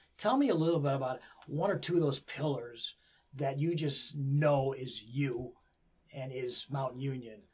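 This man's voice sits fairly high and sounds somewhat breathy. He keeps a moderate pace and fairly even intonation. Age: 60s. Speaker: wrestling coach and podcast host. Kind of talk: interview. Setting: studio.

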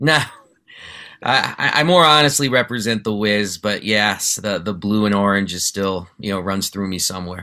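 Recorded very cleanly against a silent background, a man speaks with an American accent at a moderate pace. His pitch is fairly low with ordinary variation, and his tone is bright and sharp. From New York City. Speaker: sports journalist and podcast host. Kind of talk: casual chat. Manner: animated.

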